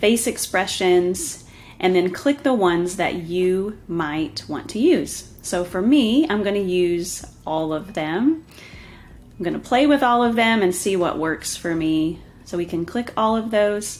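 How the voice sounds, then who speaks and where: A woman with an American accent, medium pitch and lively intonation, at a fairly slow pace. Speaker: software tutorial presenter. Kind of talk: tutorial. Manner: casual, with filler ums.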